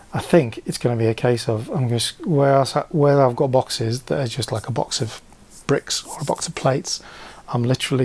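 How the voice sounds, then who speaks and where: The voice belongs to a man with a medium pitch. It rises and falls in an ordinary way. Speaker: LEGO reseller vlogger. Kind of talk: casual vlog. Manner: hesitant, many fillers; hyper, animated.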